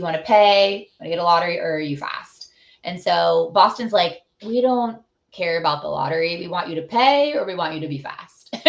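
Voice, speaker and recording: Using an ordinary speaking voice, a woman with a fairly low pitch talks at a moderate pace with lively intonation and big swings in loudness. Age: 30s. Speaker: amateur marathon runner. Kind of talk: casual interview.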